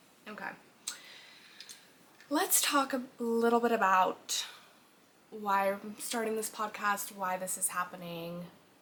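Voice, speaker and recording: At a fairly slow pace, the voice has an animated tone and ordinary pitch variation over noticeable background noise. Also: woman. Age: 20s. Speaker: podcast host. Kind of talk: casual monologue.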